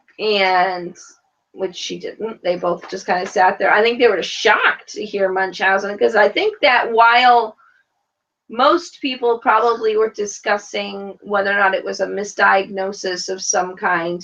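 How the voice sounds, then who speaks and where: A woman speaks with an American accent at a fairly slow pace. Her pitch is medium, with ordinary variation. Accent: New York accent, strong today. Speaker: reality TV podcast host. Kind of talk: casual chat. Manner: animated.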